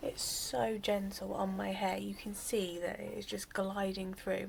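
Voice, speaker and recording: A quiet woman's voice at a fairly slow pace. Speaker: hair care vlogger. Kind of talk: tutorial.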